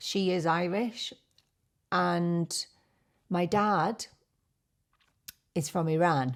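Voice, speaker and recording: Speaking very slowly in a fairly low voice, a woman with a British accent is heard on a very clean recording with a silent background. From UK. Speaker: beauty YouTuber. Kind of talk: casual chat.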